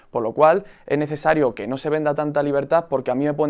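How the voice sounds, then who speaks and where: A man talks at a very fast pace against a quiet background. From Spain, Madrid region (Aranjuez); Madrid region, Spain. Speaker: youth party leader; debater. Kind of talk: political debate. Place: studio. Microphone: lapel.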